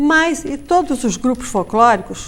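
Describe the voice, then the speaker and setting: Her pitch rises and falls across a very wide range as the woman speaks. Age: 70s. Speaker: German cultural club leader. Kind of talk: live TV interview.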